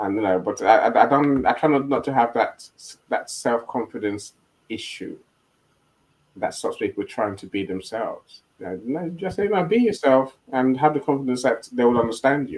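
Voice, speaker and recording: A man with a South London accent, lively intonation and a moderate pace. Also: medium pitch for a man. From Nigeria. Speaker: live stream host. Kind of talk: casual panel discussion. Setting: online live stream. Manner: halting, many repetitions.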